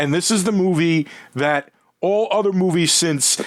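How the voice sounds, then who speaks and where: A man's high-pitched voice in a dry, close recording with no echo. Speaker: film podcast co-host. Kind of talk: casual chat.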